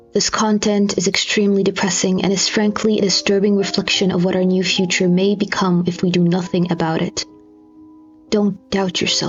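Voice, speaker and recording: A woman talks at a moderate pace and medium pitch, with monotone, flat intonation and very even loudness. Music plays in the background. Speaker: audiobook narrator. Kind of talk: content warning and spoken appeal.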